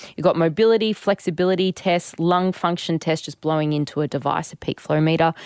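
In a very clean recording with a silent background, a woman with an Australian accent talks at a fairly quick pace and fairly low pitch with hardly any pauses, the sound dry and close with no echo. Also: fairly even intonation. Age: 30s. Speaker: personal trainer and podcast co-host. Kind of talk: casual chat. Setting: studio.

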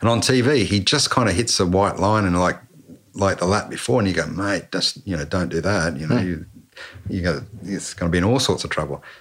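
A man with an Australian accent and a very deep, low pitch talks at a fairly quick pace with ordinary pitch variation. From Canberra, Australia. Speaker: former motorcycle racing mechanic. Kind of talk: casual interview chat. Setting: home podcast setup.

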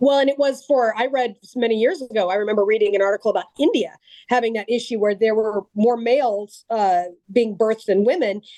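A woman talks in a normal speaking voice with a fairly high pitch. Her loudness stays very even, with ordinary pitch variation. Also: fairly quick pace. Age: 40s. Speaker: gun rights advocate and abuse survivor. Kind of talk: podcast interview.

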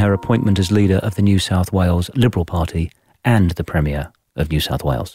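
With music in the background, a man with an English accent speaks very fast, his pitch fairly low and his intonation lively. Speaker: podcast host. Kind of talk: interview.

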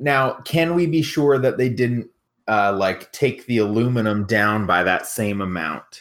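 A man with an ordinary speaking voice, medium in pitch, with lively intonation at a fairly slow pace. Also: very clean recording, silent background. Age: 30s. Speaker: podcast contestant and songwriter. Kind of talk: casual chat.

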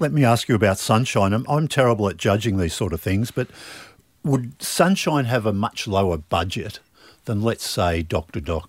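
Speaking with an Australian accent, a man uses a fairly low pitch and lively intonation. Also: moderate pace, very clean recording, silent background. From Melbourne, Australia. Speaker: podcast host and trade magazine editor. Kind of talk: casual interview. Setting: studio.

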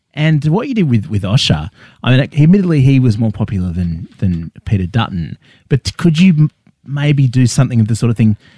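A man's somewhat breathy, dark and mellow voice at a medium pitch, with very wide pitch swings, a fairly quick pace and an Australian accent. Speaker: comedy podcast host. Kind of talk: comedic interview. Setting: studio.

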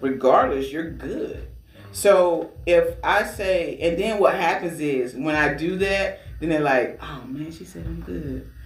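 Against noticeable background noise, a man speaks at a very slow pace with big swings in loudness. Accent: American. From Georgia, US. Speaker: radio DJ and awards organizer. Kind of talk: casual interview chat.

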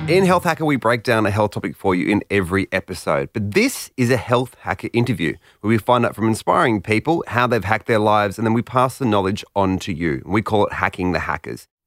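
A man with a fairly low pitch speaks at a very fast pace with lively intonation and hardly any pauses. The sound is dry and close, with no echo. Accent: Australian. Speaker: podcast co-host and producer. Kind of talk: casual interview.

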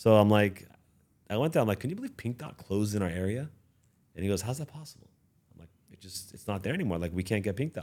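A man with a Californian accent talks at a very fast pace in a fairly low pitch, his loudness swinging widely. Long pauses break up his speech often. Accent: Californian American. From Los Angeles. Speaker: business owner. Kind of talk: interview. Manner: halting.

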